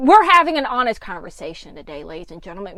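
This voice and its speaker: At a fairly quick pace, a woman talks in a raised, projected voice. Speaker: podcast host. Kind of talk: casual podcast talk.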